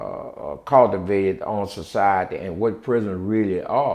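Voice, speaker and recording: With a New Orleans accent, a man talks slowly at a fairly low pitch. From New Orleans, Louisiana. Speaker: former prisoner and prison reform activist. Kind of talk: interview answer. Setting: at home.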